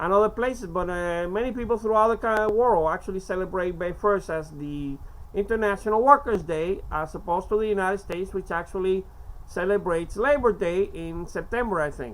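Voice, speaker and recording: A woman speaks with a Spanish accent. She keeps a fairly quick pace. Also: medium pitch for a woman, ordinary pitch variation. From Cuba. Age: 50s. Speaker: amateur poetry reader. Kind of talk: casual monologue; reading aloud. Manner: halting.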